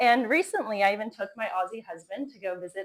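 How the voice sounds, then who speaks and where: Speaking at a moderate pace with an American accent, a woman uses a normal speaking voice at a medium pitch. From US, Florida. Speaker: fusion energy entrepreneur. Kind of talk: conference talk.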